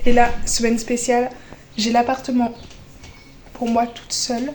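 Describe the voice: At a fairly slow pace, a woman speaks in a fairly high pitch with a slightly mellow tone and monotone, flat intonation.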